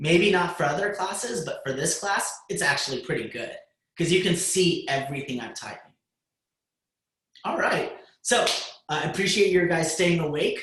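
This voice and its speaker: Speaking at a moderate pace with long, frequent pauses, a man with a high pitch and ordinary pitch variation is heard in a room with audible echo. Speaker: high school computer science teacher. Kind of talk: lecture. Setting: video call.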